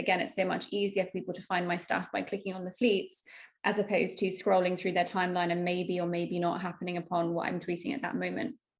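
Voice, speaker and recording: Someone speaks very fast in a British accent with a flat, monotone delivery. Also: woman. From UK. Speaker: marketing strategist. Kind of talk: casual interview chat.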